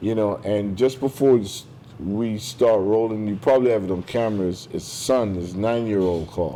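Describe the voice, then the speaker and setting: A man with an unremarkable speaking voice talks at a moderate pace, fairly low in pitch, with fairly even intonation. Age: 60s. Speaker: podcast host. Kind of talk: casual interview conversation. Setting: restaurant, filmed podcast.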